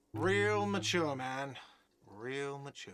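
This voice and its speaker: A man puts on a character voice at a medium pitch. The delivery sounds whiny. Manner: shouting, sarcastic.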